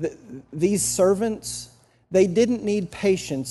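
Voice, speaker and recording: The tone is dark and mellow, with an American accent. The pace is fairly slow. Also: man. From New Jersey. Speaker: pastor. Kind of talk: sermon.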